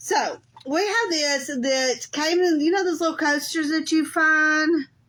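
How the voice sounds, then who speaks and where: With a Southern US accent, a woman speaks at an extremely high pitch with ordinary pitch variation. Her tone is bright and sharp, and her loudness stays very even. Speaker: crafter. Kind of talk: live craft tutorial. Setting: Facebook live stream. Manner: casual, chatty.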